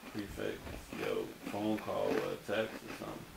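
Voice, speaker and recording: Amid loud background noise, a man speaks at a fairly slow pace. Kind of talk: casual conversation. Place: home room. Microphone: phone near.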